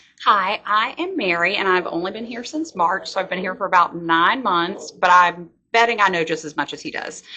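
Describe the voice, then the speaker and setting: In a Virginia accent, the voice sounds bright and sharp at a moderate pace, with ordinary pitch variation and big swings in loudness. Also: woman, medium pitch for a woman, hardly any pauses. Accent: Virginia Southern US. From Virginia, Louisa County. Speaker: library staff. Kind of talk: interview. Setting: library.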